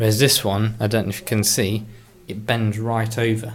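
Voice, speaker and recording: A man mumbles at a fairly low pitch over noticeable background noise. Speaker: tech hobbyist vlogger. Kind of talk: casual show-and-tell video. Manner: mumbling.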